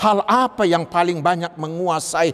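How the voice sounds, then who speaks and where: A man's voice with a high pitch. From North Sumatra, Indonesia (Batak). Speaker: pastor. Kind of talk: sermon.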